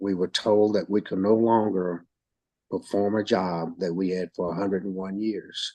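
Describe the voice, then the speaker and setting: A man's very deep, low, dark and mellow voice, monotone and flat, at a moderate pace over a quiet background. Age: 70s. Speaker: retired park guide and volunteer. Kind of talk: interview. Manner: halting, repeats words.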